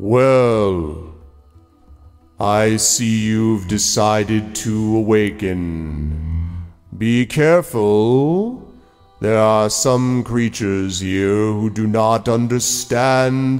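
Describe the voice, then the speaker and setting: A man's put-on character voice at a very slow pace, with faint music in the background. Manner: slow, ominous.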